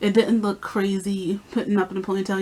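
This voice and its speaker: A woman speaking at a fairly quick pace. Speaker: beauty vlogger. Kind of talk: casual vlog talk. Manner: fast.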